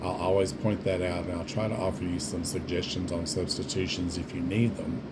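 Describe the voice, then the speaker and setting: With a Southern US accent, a man speaks at a fairly quick pace in a very deep, low pitch and fairly even intonation, with audible room echo and noticeable background noise. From US South. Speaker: home cook, former food service worker. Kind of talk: cooking tutorial. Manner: casual, conversational.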